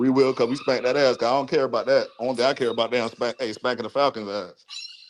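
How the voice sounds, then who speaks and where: Amid noticeable background noise, a medium-pitched man talks at a very fast pace. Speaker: Panthers fan caller. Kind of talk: heated debate. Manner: animated.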